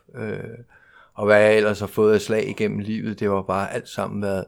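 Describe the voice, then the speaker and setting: This is a man speaking. His voice sits at a fairly low pitch. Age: 40s. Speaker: recovering alcoholic speaker at a 12-step convention. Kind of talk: personal testimony talk. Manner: halting, with many fillers.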